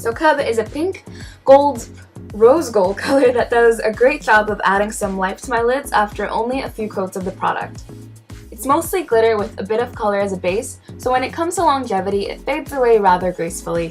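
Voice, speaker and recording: Music plays behind a woman talking at a fairly quick pace and a fairly high pitch, with lively intonation. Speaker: beauty vlogger. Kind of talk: product review to camera. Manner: casual, wry.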